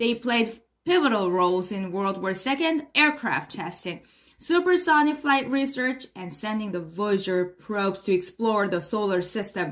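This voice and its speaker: A woman speaks in a Korean accent at a medium pitch. Her pitch swings very widely at a moderate pace. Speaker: English learner. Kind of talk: mock news reading. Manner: formal.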